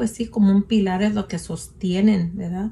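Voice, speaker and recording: A woman's medium-pitched, somewhat breathy voice with a dark, mellow tone and monotone, flat intonation. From Mexico, western Sierra Madre. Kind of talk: testimony. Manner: halting.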